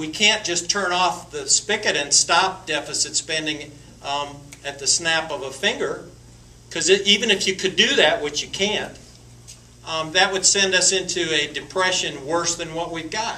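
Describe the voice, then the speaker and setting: Noticeable background noise accompanies a man with an Appalachian accent speaking at a moderate pace in a high voice with ordinary pitch variation. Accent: Southern US (Appalachian North Carolina). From western North Carolina. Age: 60s. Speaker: congressional candidate. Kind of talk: Q&A at political forum. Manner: halting, many repetitions and fillers.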